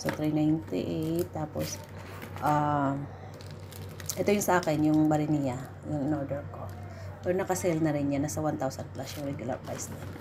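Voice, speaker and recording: A woman with a very deep, low pitch speaks at a moderate pace with lively intonation and long, frequent pauses. Noticeable background noise and audible room echo fill the recording. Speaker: vlogger. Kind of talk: casual unboxing vlog. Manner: halting, many fillers.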